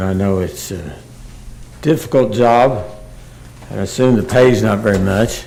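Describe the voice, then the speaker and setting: With an American accent, a man talks at a moderate pace and ordinary pitch variation, amid audible room echo and noticeable background noise. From Oklahoma. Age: 70s. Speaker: public commenter. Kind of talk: public comment at city meeting. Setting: city commission meeting room. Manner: halting, many fillers.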